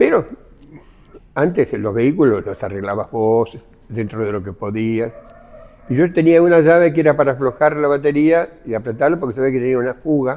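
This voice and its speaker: Noticeable background noise sits behind a man with a Rioplatense accent. He speaks at medium pitch and a moderate pace. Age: 70s. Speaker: former blacksmith, witness. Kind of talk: testimony.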